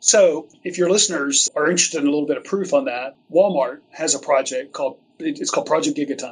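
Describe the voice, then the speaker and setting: With an ordinary speaking voice, a man talks at a fairly quick pace with hardly any pauses, his fairly high pitch carrying lively intonation. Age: 50s. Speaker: logistics executive. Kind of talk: interview conversation.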